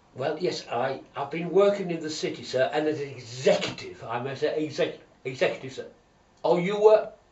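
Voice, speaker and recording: A man talks at a moderate pace. Audible room echo follows his words. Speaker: comic performer. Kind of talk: comedy sketch monologue. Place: bathroom. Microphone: camera far.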